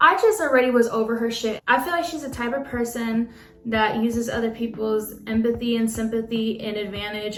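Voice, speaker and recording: Over noticeable background noise, a woman speaks at a fairly quick pace in a fairly high voice, with hardly any pauses. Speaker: nail tech. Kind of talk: storytime talk to camera.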